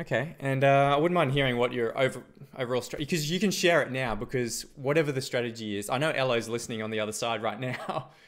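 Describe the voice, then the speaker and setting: A man talking very fast with an Australian accent, a medium pitch and ordinary pitch variation. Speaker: esports caster. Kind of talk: live commentary.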